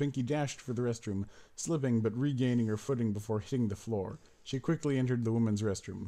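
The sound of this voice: Here is an unforced reading voice. It has ordinary pitch variation.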